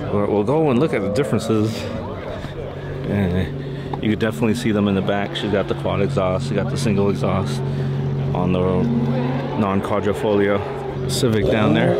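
Amid loud background noise, a man talks at a moderate pace with long, frequent pauses, in a dry sound with no echo. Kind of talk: casual walkaround commentary. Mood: relaxed, enthusiastic. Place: street. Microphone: phone near.

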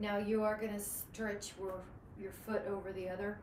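A woman speaks in a calm tone, with audible room echo and light background noise. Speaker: fitness instructor. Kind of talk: live group fitness class, cueing exercises. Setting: online video class with live participants. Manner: calm, encouraging, rhythmic cueing; warm, positive, uplifting. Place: home room. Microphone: camera far.

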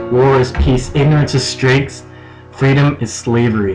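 With clear music behind him, a man talks at a moderate pace, his pitch varying in an ordinary way. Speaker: slam poet. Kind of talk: slam poetry performance. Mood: intense, anguished. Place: home room. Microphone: webcam.

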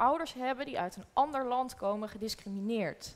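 A woman talks in a high pitch with lively intonation. Her pace is moderate. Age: 20s. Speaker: documentary maker; guest. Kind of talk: panel discussion. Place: hall.

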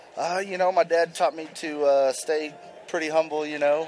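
A man speaks at a moderate pace while noticeable background noise plays behind him. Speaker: former college outfielder. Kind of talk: casual chat. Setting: broadcast booth interview. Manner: relaxed, halting.

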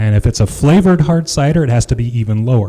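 A man talks at a fairly quick pace in a dark, mellow, somewhat breathy voice. The background is quiet. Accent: Midwestern American. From Iowa, Jefferson; Iowa. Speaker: cider maker and orchard farmer; presenter. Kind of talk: conference presentation. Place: hall. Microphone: handheld.

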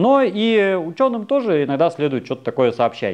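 Very wide pitch swings from a man at a moderate pace, over a quiet background. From Russia. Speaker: anthropologist, university lecturer; anthropologist lecturer. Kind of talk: popular science lecture. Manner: casual, hesitant fillers (э). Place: studio. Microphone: lapel.

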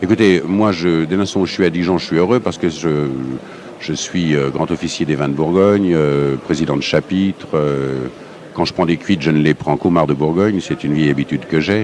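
A very deep, low-pitched male voice moves at a moderate pace with ordinary pitch variation. The sound is dry with no echo, and there is light background noise. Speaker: interviewee. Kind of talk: interview answer. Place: hall.

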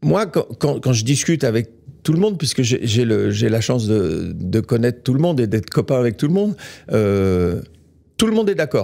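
A man with a dark, mellow tone, very wide pitch swings and very even loudness, at a moderate pace over a quiet background. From France. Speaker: real estate executive; guest. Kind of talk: interview. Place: studio. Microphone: studio mic.

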